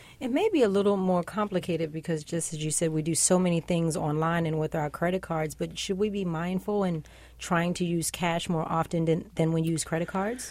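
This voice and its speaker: A woman's unremarkable speaking voice, fairly low-pitched, at a fairly quick pace with fairly even intonation. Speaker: radio host. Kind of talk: news show interview. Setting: studio.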